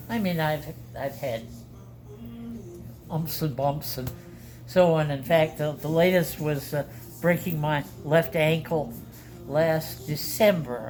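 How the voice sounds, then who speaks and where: Over music in the background, a woman speaks in a very deep, low voice with ordinary pitch variation. Her pace is very slow, with long, frequent pauses. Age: 80s+. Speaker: retired pastor. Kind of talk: casual interview chat. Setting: in person, masks on, community venue. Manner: halting.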